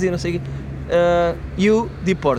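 A man's high-pitched voice. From Portugal. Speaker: comedian. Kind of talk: casual chat.

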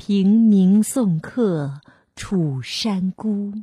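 Ordinary pitch variation in plain reading aloud, with a quiet background

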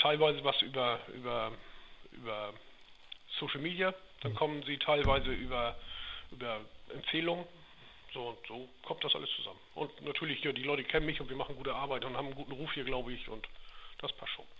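A man with a fairly high pitch talks at a fairly quick pace but leaves long, frequent pauses. His pitch varies in an ordinary way, and noticeable background noise can be heard. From Schleswig-Holstein, Dithmarschen (northern Germany). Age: 40s. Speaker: heating business owner. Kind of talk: interview.

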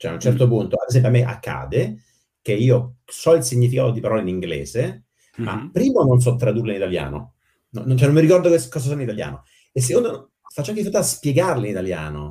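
A man's very fast speech at medium pitch, with a dark, mellow tone, very wide pitch swings and vocal fry. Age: 40s. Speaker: software engineer. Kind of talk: casual chat.

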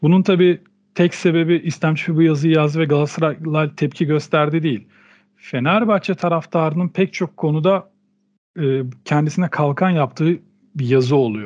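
An ordinary speaking voice comes through with ordinary pitch variation. The pace is moderate. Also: man, fairly high pitch for a man. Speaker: podcast co-host. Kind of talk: casual discussion.

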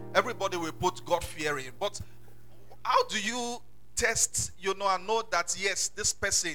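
Speaking at a fairly slow pace, a man with a Nigerian accent has a high pitch, a bright, sharp tone and ordinary pitch variation.

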